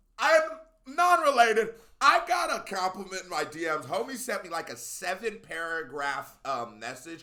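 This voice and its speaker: A man with an American accent speaks in a raised, projected voice at a high pitch, his pitch swinging very widely. His tone is bright, sharp and animated, with big swings in loudness. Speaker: YouTube music reactor. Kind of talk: casual reaction video commentary. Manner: fast.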